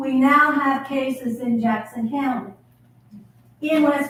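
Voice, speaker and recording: Her pitch high and her intonation fairly even, a woman speaks at a fairly slow pace with audible room echo. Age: 70s. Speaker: retired teacher, audience member. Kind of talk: audience question at town hall. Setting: community town hall with audience.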